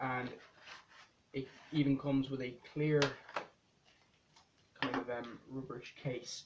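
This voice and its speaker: A man at medium pitch, flat and monotone, fairly slow with long, frequent pauses. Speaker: tech reviewer. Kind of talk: unboxing review. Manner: casual, hesitant.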